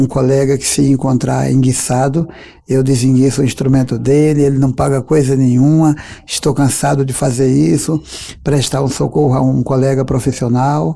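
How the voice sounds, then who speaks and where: At a moderate pace, a man talks in a dark, mellow tone with fairly even intonation and a medium pitch. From Brazil, Paraíba (Campina Grande area). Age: 50s. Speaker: accordionist and composer. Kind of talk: interview.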